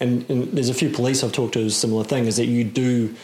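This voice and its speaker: Noticeable background noise accompanies a man with medium pitch. He speaks at a fairly quick pace with fairly even intonation. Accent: New Zealand. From New Zealand, Auckland. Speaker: podcast host and hunting course instructor. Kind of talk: casual interview chat.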